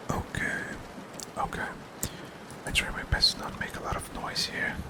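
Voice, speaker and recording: Someone whispers at a moderate pace, with big swings in loudness, long, frequent pauses and noticeable background noise. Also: man. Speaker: game developer. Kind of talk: ASMR game development tutorial, whispered narration. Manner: whispering, soft-spoken.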